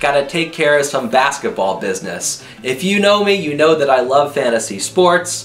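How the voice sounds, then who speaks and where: A man at a moderate pace with hardly any pauses, his pitch swinging very widely, over light background noise. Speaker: youtube vlogger. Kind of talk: casual vlog chat. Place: home room.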